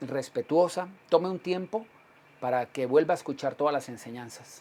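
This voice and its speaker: A man with an unremarkable speaking voice keeps a fairly quick pace and ordinary pitch variation. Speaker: pastor. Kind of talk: sermon. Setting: livestream broadcast.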